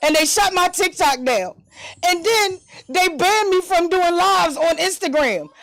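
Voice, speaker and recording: A woman at an extremely high pitch and a moderate pace, with music in the background. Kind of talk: casual chat. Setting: studio. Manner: animated.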